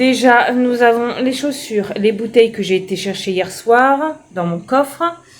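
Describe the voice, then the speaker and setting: Fairly high female voice at a fairly slow pace with hardly any pauses, ordinary pitch variation and noticeable background noise. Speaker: home organisation vlogger. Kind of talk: casual vlog narration. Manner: chatty, informal.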